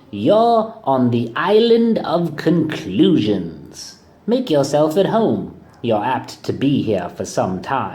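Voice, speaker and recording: A man does a put-on character voice, fairly high in pitch with very wide swings. He speaks at a very slow pace, and an echo is audible. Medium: read story. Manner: changeable, exaggerated.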